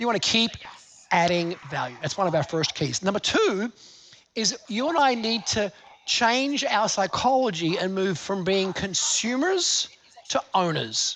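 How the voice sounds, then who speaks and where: A man with an Australian accent and a high pitch sounds animated, with lively intonation at a fairly slow pace over noticeable background noise. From Australia, Gold Coast. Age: 50s. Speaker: seminar speaker. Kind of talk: live seminar talk. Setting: stage with audience.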